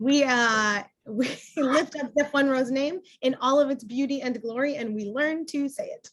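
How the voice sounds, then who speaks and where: High-pitched, a woman speaks with ordinary pitch variation. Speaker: clergy talk show co-host. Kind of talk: casual chat. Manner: fast.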